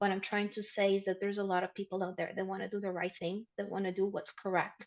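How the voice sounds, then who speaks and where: A woman with a Spanish accent talks at a very fast pace, her medium pitch held in a monotone, flat line. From Ecuador, Quito. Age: 30s. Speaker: insurance specialist. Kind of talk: interview.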